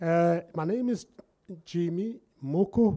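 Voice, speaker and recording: A man speaks with a Lesotho accent at a very slow pace. His pitch is high, with ordinary variation. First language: Sesotho. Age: 60s. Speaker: entrepreneur. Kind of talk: workshop talk. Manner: energetic.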